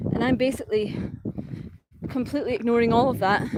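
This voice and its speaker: A woman in a Scottish accent, with ordinary pitch variation and noticeable background noise. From Scotland. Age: 30s. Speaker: travel vlogger. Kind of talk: casual vlog talk. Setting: outdoors walking, live stream. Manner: rolled R's.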